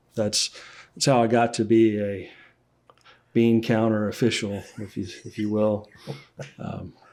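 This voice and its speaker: In a Louisiana accent, a man talks at a moderate pace in a fairly low, monotone voice with flat intonation. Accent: Louisiana Southern US. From Central Louisiana. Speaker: accountant and business owner. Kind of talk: podcast interview.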